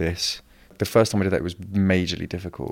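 A man's very deep, low voice at a very fast pace, in a very clean recording with a silent background. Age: 20s. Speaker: podcast host. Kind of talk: casual chat.

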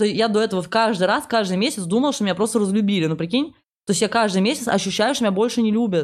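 A woman talks at a very fast pace with a fairly high pitch and ordinary pitch variation. Her loudness stays very even on a very clean recording with a silent background. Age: 20s. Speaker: stand-up comedian. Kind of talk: casual chat.

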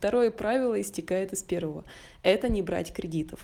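Moderate-paced speech from a woman at medium pitch, dark and mellow in tone, with ordinary pitch variation. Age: 20s. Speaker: podcast co-host. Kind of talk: casual chat.

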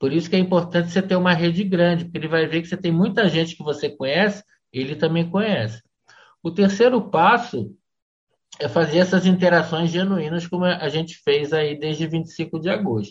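With ordinary pitch variation and a high pitch, a man speaks at a moderate pace. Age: 50s. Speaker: LinkedIn influencer and sales trainer. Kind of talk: casual interview.

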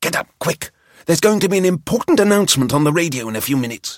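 A man's put-on character voice, high in pitch, with very wide pitch swings at a very fast pace. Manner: urgent, commanding.

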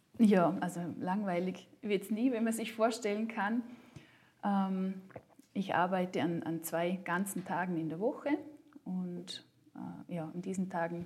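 A woman speaks at a medium pitch in a somewhat breathy voice. Her pace is fairly slow, with ordinary pitch variation. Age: 30s. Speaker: working mother and coach. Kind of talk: interview. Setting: office. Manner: hesitant, many fillers.

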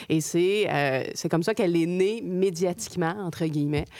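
Talking at a fairly quick pace, a woman uses an ordinary speaking voice with fairly even intonation. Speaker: podcast co-host. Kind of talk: casual interview chat.

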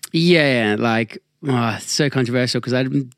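With an unremarkable speaking voice, a man talks at a moderate pace and with fairly even intonation, the sound dry and close with no echo. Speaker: podcast host. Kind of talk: casual chat. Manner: casual, joking.

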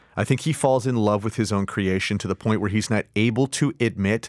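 A man's fairly low, fairly quick delivery with ordinary pitch variation, a plain, everyday voice, a very clean recording with a silent background, and a dry, close sound with no echo. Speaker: director and actor. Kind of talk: casual interview chat.

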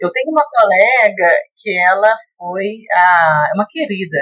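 Very wide pitch swings mark this woman's speech. She keeps a fairly slow pace. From Belo Horizonte, Minas Gerais, Brazil. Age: 20s. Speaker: Spanish teacher and model. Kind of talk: podcast interview. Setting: virtual recording.

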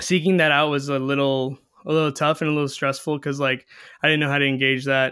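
A man talks at a very fast pace with a fairly high pitch. His intonation is monotone and flat, and his loudness stays very even. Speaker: singer-songwriter. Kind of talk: casual interview chat. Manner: halting, many fillers.

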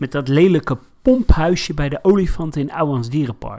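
A man speaks at a fairly high pitch with a dark, mellow tone. The recording is very clean with a silent background. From Netherlands, Rotterdam. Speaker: podcast co-host. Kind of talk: casual chat.

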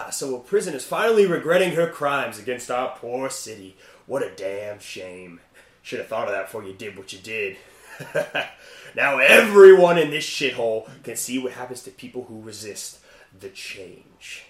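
Someone uses a put-on character voice at a moderate pace, with a slight echo in the sound. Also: man, medium pitch for a man. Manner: gloating, sadistic, mocking.

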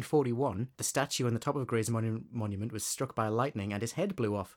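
A man's very fast speech is captured on a very clean recording against a silent background. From northeast England. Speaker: podcast co-host. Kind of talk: casual quiz chat.

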